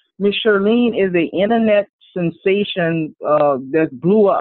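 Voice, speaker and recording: The speaker has an animated tone and a Louisiana accent. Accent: Louisiana Southern. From New Orleans, Louisiana. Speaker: multi-talented artist. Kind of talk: casual interview chat. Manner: animated, humorous.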